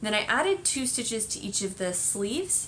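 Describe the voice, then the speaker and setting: With a plain, everyday voice, a woman talks at a moderate pace in a fairly high pitch with lively intonation. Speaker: knitting podcast host. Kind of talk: casual chat.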